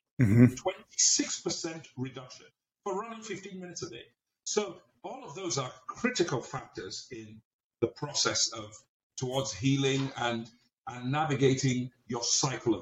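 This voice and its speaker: A man speaks at a fairly slow pace. His loudness swings widely and his pitch moves across a very wide range. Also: fairly high pitch for a man. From England, Nigerian heritage. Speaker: pastor. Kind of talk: interview conversation.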